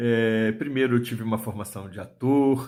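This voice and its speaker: At a fairly slow pace, a man talks in a monotone, flat intonation at medium pitch. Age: 60s. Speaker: writer and storyteller. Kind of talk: video talk to book fair audience. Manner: hesitant, with fillers.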